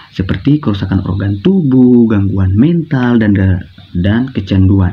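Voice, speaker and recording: At a moderate pace, a man speaks in a fairly low, somewhat breathy voice with ordinary pitch variation. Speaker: university student presenting. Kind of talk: classroom guidance presentation. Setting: recorded at home at night. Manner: soft-spoken.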